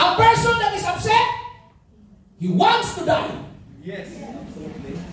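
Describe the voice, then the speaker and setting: Room echo is audible, with light background noise. A man talks at a moderate pace. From Philippines. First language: Tagalog. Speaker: pastor. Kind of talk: sermon with Taglish code-switching and congregation call-and-response. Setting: church service with live congregation. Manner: impassioned revival-style preaching, punctuating lines with hallelujah; repeatedly urges the congregation to shout and respond aloud. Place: church.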